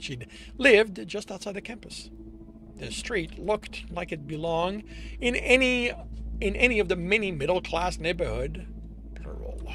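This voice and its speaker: Over music in the background, a man speaks at a moderate pace with big swings in loudness and long, frequent pauses. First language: French. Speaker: author streaming his own writing. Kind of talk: reading aloud own draft with editing comments. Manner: halting, self-correcting.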